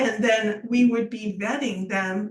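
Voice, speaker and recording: Fairly high in pitch, a woman talks in an ordinary speaking voice. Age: 60s. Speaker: business founder. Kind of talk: podcast interview.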